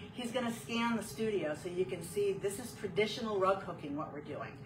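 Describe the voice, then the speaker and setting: A woman talks at a fairly quick pace with lively intonation and a medium pitch. Noticeable background noise and audible room echo surround her. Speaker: rug hooking teacher. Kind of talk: tutorial. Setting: home studio, live video stream. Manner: fast.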